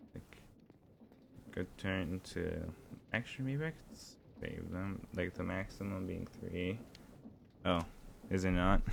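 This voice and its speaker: With music in the background, a man speaks at a very deep, low pitch with ordinary pitch variation. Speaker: gaming streamer. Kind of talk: live gameplay stream. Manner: projecting more loudly; mumbling, quiet. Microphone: voice cutting off on microphone.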